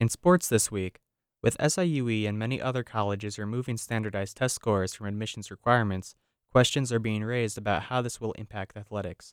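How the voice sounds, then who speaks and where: A man speaks at a very fast pace and a fairly low pitch, with an upbeat tone and ordinary pitch variation, in a dry, close sound with no echo on a very clean recording with a silent background. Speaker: student news reporter.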